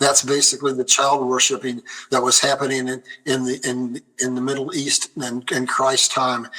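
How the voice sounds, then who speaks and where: Monotone, flat intonation comes through over noticeable background noise. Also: man, medium pitch for a man. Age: 70s. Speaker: guest presenter on prophecy and economics. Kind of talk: interview with slide presentation. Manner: fast.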